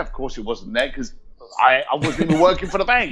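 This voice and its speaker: This is a man talking with a London accent. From southern England, Reading and East London. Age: 50s. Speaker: entrepreneur. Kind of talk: interview storytelling. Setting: call.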